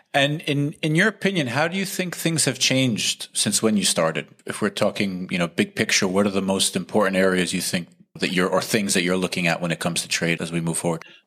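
In an ordinary speaking voice, a man talks at a fairly low pitch and a fairly quick pace. His intonation is lively, with hardly any pauses. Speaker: podcast co-host. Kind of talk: casual chat.

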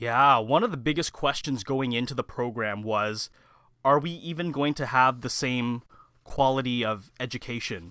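This man speaks at a medium pitch and a moderate pace. His tone is bright and sharp, with ordinary pitch variation. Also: very clean recording, silent background. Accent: Canadian. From Canada, Mississauga (Ontario). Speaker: public relations student. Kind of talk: interview.

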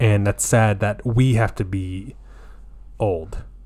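A man with a fairly low, somewhat breathy voice speaks at a very slow pace with fairly even intonation. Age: 30s. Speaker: podcast host. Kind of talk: casual chat.

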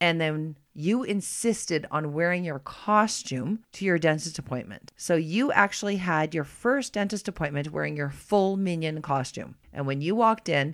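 Heard in a very clean recording with a silent background, a woman with a plain, everyday voice and fairly low pitch speaks at a moderate pace with hardly any pauses. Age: 40s. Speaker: podcast co-host and mother. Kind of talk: casual chat.

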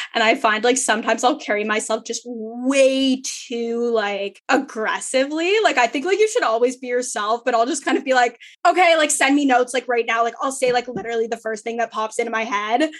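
A woman talks at a fairly quick pace with hardly any pauses, her pitch high and its variation ordinary. Noticeable background noise is present. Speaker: law student and podcast host. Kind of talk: casual chat. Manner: loud, over the top.

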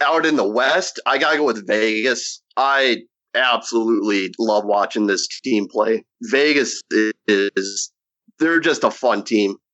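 Keeping a very even loudness, a man talks at a fairly slow pace in a medium pitch with ordinary pitch variation. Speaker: hockey fan contributor. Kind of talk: casual sports chat. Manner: halting.

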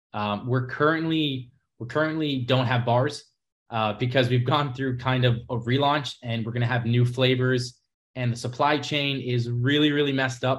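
A man speaks in a medium-pitched, somewhat breathy voice with an American accent. His intonation is flat and monotone, at a moderate pace. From New York City. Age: young. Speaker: nutrition bar entrepreneur and content creator. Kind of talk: casual chat.

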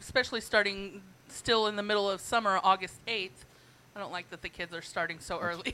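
A woman speaks at a fairly quick pace in a bright, sharp tone. Her intonation stays fairly even while her loudness swings widely. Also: medium pitch for a woman. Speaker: wrestling fan. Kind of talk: casual chat. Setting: studio.

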